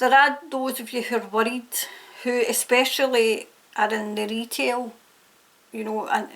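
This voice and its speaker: In a Scottish accent, a woman with a high pitch speaks at a fairly slow pace with fairly even intonation. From Scotland. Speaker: tarot reader. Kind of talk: tarot reading to camera. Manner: casual, hesitant with fillers.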